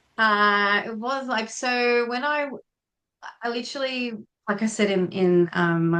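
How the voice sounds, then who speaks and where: A woman with an Australian accent, fairly slow pace and ordinary pitch variation. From Tasmania, Australia. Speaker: feng shui consultant, former air force member. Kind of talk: podcast interview.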